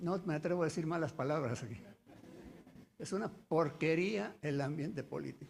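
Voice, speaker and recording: The pace is moderate. Vocal fry runs through the voice. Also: man, fairly high pitch for a man, ordinary pitch variation. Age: 80s+. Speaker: notary. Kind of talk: audience comment.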